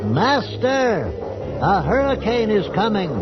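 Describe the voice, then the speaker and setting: Over loud background noise, a man puts on a character voice, pitched high and delivered at a fairly slow pace. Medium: audio drama. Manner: nervous, subservient.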